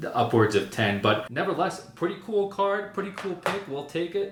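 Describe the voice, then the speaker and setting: A man talks with ordinary pitch variation amid audible room echo and noticeable background noise. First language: not English. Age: 30s. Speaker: content creator opening trading card packs. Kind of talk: casual unboxing commentary. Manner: casual, rambling with fillers.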